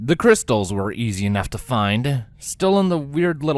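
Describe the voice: The delivery is plain reading aloud.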